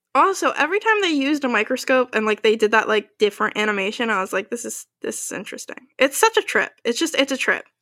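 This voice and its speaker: A woman talks at a very fast pace with hardly any pauses, in a raised, projected voice with a bright, sharp tone. Her pitch is high with very wide swings, and the sound is dry and close with no echo. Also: very clean recording, silent background. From New Jersey. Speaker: podcast co-host. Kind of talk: casual chat.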